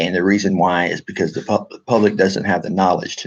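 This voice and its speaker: The man speaks with a Texan accent. His pitch is very deep and low. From Texas. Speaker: military veteran and political activist vlogger. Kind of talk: casual monologue to camera. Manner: halting, many fillers and restarts.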